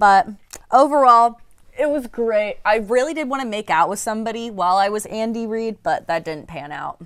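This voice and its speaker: Here is a woman with an ordinary speaking voice, pitched fairly high. She talks at a moderate pace with lively intonation. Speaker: co-host. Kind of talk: casual banter.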